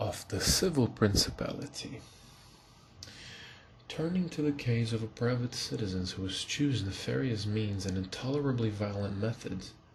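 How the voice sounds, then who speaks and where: The man talks at a moderate pace. His intonation has a lively rise and fall. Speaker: ASMR reader / channel host. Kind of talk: soft-spoken ASMR book reading for sleep.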